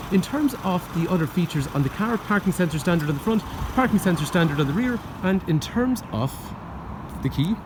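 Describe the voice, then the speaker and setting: With noticeable background noise, a man talks at a fairly quick pace in a high pitch with lively intonation. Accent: Irish. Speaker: car salesman. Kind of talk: sales pitch. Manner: stutter.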